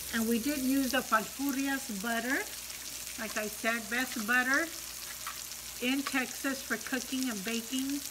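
Over noticeable background noise, a woman with a high pitch talks at a fairly slow pace with fairly even intonation. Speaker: mukbang vlogger. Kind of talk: casual vlog chat. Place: home room. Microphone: phone near.

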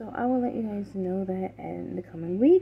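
A woman at a fairly slow pace, with vocal fry and ordinary pitch variation

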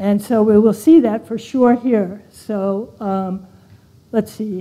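Her voice has a dark, mellow tone and a fairly high pitch. The woman speaks with an American accent and fairly even intonation. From California. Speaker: preacher. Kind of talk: sermon. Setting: church. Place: church. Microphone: lapel.

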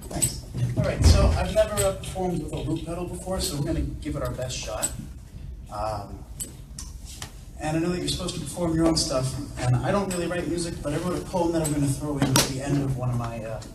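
Very fast speech from a man over loud background noise. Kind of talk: stage banter. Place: stage. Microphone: camera far.

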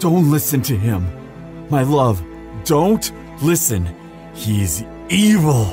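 A man uses a put-on character voice at a medium pitch. He talks at a fairly slow pace as clear music plays in the background. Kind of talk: audio roleplay. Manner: desperate.

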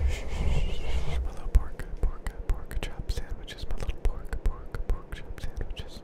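Whispering in a playful tone, a man speaks at a very slow pace with hardly any pauses over noticeable background noise. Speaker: ASMR creator. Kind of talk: ASMR trigger-word repetition for sleep. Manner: playful, repetitive trigger words.

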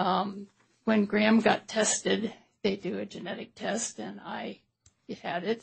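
Vocal fry and monotone, flat intonation at a fairly slow pace, with big swings in loudness. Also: woman, medium pitch for a woman. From US Midwest, St. Louis. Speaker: trial witness, parent. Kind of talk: witness testimony. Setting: courtroom.

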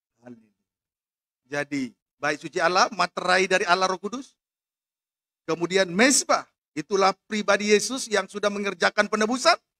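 A man with a high pitch projects his raised voice at a moderate pace, with a bright, sharp tone and ordinary pitch variation. His loudness swings widely, long pauses come often, and the background is quiet. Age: 40s. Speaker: pastor. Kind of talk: sermon. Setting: church with congregation, also live-streamed. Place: church. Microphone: podium.

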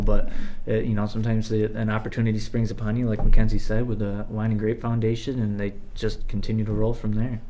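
In an American accent, a man talks at a very fast pace with a monotone, flat intonation. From central New York (Cortland); New York. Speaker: chamber of commerce marketing manager; guest. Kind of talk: casual interview. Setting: studio. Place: studio.

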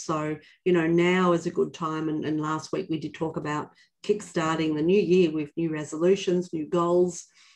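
Over a quiet background, a woman with a fairly low pitch and fairly even intonation uses an ordinary speaking voice. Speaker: company leader hosting a webinar. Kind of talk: webinar hosting talk. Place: office. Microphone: video call.

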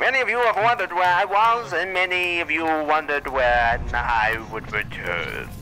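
A man uses a put-on character voice, high in pitch. He goes at a moderate pace with clear background noise behind him. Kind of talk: voice trolling in online game chat. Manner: old-time 1920s radio announcer style; theatrical, showman-like.

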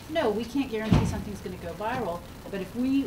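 A woman speaks at a fairly quick pace with a fairly high pitch and ordinary pitch variation. Noticeable background noise sits behind her. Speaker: digital marketing consultant. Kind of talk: panel discussion. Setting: live event with audience.

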